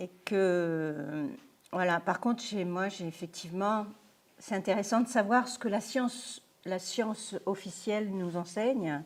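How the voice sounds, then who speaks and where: Very slow, medium-pitched female speech with ordinary pitch variation. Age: 60s. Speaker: lecturer, retired software project manager. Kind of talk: lecture. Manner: halting.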